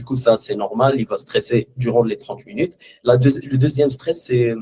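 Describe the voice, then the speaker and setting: Somewhat breathy and dark, mellow in tone, a man speaks at a moderate pace with ordinary pitch variation and big swings in loudness. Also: medium pitch for a man. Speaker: former student. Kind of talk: testimony. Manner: halting.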